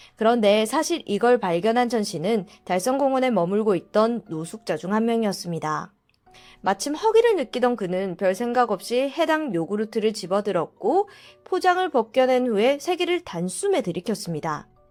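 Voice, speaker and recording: Music in the background behind a woman with a fairly high pitch, very wide pitch swings and a moderate pace. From South Korea, Daegu. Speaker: mystery storyteller. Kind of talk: true-crime storytelling.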